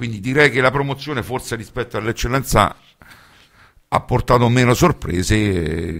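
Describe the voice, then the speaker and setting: A man at a moderate pace with lively intonation, long and frequent pauses, and a quiet background. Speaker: radio host. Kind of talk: radio sports commentary and match summaries. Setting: studio. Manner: hesitant, filler-heavy, with frequent 'eh' pauses. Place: studio.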